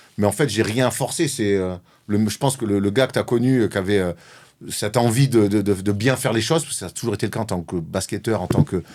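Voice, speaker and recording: A man with a Marseille accent talks at a very fast pace with a fairly low pitch and ordinary pitch variation. The recording is very clean, with a silent background. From Marseille, southern France. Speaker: former basketball player turned sports journalist. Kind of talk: interview. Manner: outspoken, direct.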